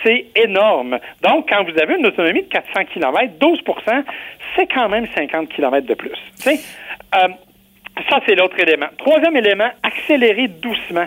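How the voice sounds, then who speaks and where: With very wide pitch swings in a high voice, a man speaks at a fairly slow pace broken by long, frequent pauses. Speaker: car columnist. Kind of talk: casual chat.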